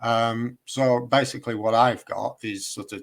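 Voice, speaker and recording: A man talks in a Lancashire accent. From northern England, Chorley, Lancashire. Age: 50s. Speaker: independent researcher, builder. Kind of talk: casual chat.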